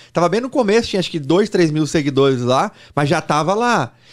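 Here a man with a fairly high pitch speaks at a very fast pace, his pitch making very wide swings. The background is quiet. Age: 40s. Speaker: sports betting trader and educator; podcast guest. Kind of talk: podcast interview. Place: studio. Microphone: studio mic.

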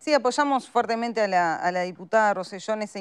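Moderate pacing from a woman over a quiet background. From Uruguay. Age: 30s. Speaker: politician. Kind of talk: panel discussion. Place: studio.

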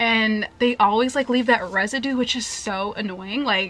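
A woman with fairly high pitch, ordinary pitch variation, a fairly bright tone and a moderate pace

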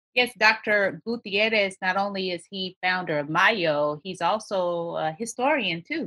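A woman with an American accent talks at a fairly slow pace in a bright, sharp tone, at medium pitch with ordinary variation, in a dry, close sound with no echo. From Texas. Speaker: podcast host. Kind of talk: interview.

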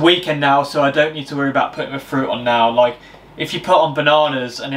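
A man at a fairly quick pace. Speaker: fitness vlogger. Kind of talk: casual vlog chat. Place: kitchen. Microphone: camera far.

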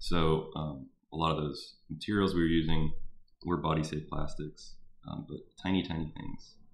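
With audible room echo, a man with a Texan accent speaks at a very deep, low pitch and with fairly even intonation. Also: moderate pace. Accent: Texan (US Southern) English. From Houston, Texas. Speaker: artist. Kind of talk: artist talk to a class via live stream. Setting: live stream. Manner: halting, many fillers.

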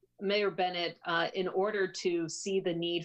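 Over a quiet background, a woman talks fairly slowly in a monotone, flat intonation. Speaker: city councilor. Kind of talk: formal meeting statement. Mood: earnest, persuasive. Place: home room. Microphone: video call.

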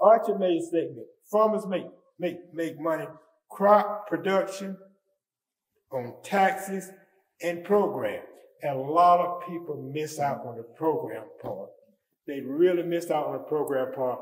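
An American accent with ordinary pitch variation, long, frequent pauses and audible room echo. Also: man, high pitch for a man. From Edgecombe County, North Carolina. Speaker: retired conservation official. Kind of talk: panel discussion.

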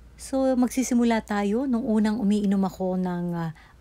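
A woman talks at a moderate pace, her pitch medium with ordinary variation. Her tone is dark and mellow. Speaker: health tips vlogger. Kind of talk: vlog tutorial. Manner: hesitant, frequent uh fillers.

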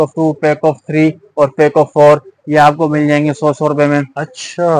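At a fairly slow pace, a man speaks with monotone, flat intonation and a dry sound with no echo. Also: quiet background. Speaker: shop video vlogger. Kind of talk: product walkthrough commentary. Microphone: phone near.

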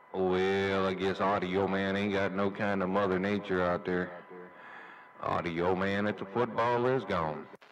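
Noticeable background noise sits behind a man speaking at a fairly slow pace. His intonation is monotone and flat, and his loudness stays very even. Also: fairly low pitch for a man. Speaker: CB radio operator. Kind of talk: CB radio chat. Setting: CB radio transmission.

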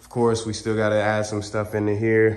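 A man with a fairly low pitch talks at a moderate pace, with audible room echo around him. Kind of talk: casual vlog chat. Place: garage. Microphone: phone near.

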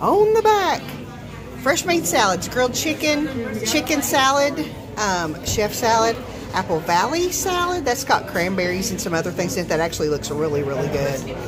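A woman speaks at a moderate pace. Crowd noise can be heard in the background. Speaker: food vlogger. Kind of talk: casual vlog chat. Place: cafe. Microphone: phone near.

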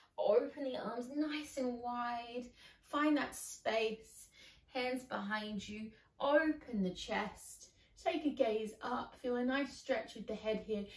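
A woman's high-pitched voice, very slow in pace with ordinary pitch variation, amid audible room echo. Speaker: exercise instructor. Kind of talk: guided exercise instruction. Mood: calm, encouraging. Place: home room. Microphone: camera far.

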